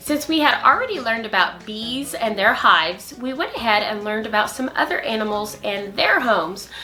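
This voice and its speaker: A woman with a fairly high pitch talks at a fairly quick pace with hardly any pauses, over noticeable background noise. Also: lively intonation. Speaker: early childhood teacher. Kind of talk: tutorial.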